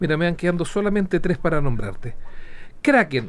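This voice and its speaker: A man talks fairly quickly. The melody of his speech is lively. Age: 40s. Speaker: horse racing journalist. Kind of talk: casual interview.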